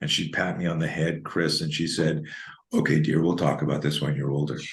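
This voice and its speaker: A man's very deep, low voice with vocal fry, monotone, flat intonation and a fairly quick pace, plus audible room echo. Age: 60s. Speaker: self-defense instructor. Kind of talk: interview. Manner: repetitive stammering restarts.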